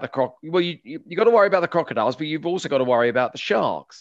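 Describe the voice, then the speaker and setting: Against a quiet background, a man talks very fast at a fairly high pitch. He has a southern English accent and lively intonation. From West London, England. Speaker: open water swimming tour company founder. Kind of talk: interview. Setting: video call. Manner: halting.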